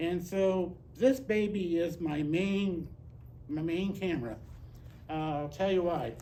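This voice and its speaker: In a room with audible echo, a man with a high pitch speaks at a very slow pace. He leaves long, frequent pauses and shows ordinary pitch variation. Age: 70s. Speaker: nature photographer. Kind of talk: presentation Q&A. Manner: hesitant, repeats words.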